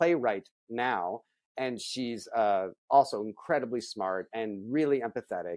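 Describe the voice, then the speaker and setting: On a very clean recording with a silent background and a dry, close sound with no echo, a man with an unremarkable speaking voice and an American accent talks at a moderate pace with ordinary pitch variation. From US Midwest, Akron, Ohio. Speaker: film writer and director. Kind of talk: interview.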